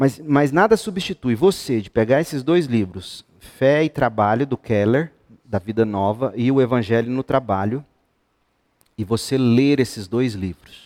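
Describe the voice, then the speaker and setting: A man with a medium-pitched voice talks at a fairly slow pace, his tone animated and his intonation lively, in a dry, close sound with no echo. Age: 50s. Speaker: pastor. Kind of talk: Bible study teaching to youth group.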